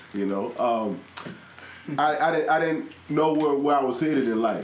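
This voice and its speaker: A man at a moderate pace, ordinary pitch variation, noticeable background noise behind him. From South Carolina, moved to Houston in junior high. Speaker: professional wrestler. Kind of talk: casual chat.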